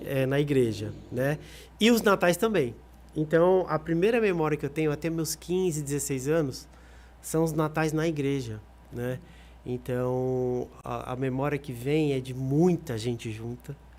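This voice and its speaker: Using a normal speaking voice, a man speaks at a fairly slow pace with a fairly high pitch and lively intonation. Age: 30s. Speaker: singer. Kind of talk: podcast interview.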